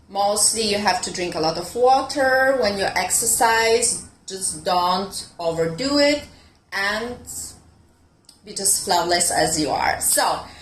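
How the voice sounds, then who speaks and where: A woman at medium pitch, very slow pace and lively intonation, with audible room echo. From Italy. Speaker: fitness coach. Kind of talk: online fitness talk. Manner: hesitant, with many fillers.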